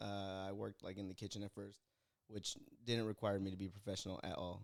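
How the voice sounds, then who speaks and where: Fairly quick speech from a man, in a Californian accent. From California (Fresno). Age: 20s. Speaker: guest, retail worker and stand-up comedian. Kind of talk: casual chat.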